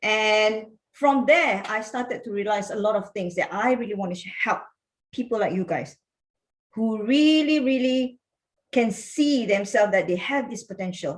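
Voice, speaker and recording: This woman's voice sits at a fairly high pitch. Her pitch varies in an ordinary way. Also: moderate pace. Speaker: business coach. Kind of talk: online workshop. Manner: animated.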